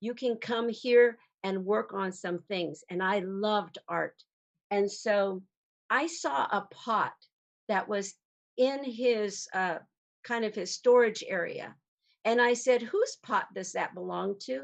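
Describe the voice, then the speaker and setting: This woman speaks at a very slow pace. Her pitch is fairly high, with ordinary variation. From New Mexico, Pueblo. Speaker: storyteller. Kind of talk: storytelling talk.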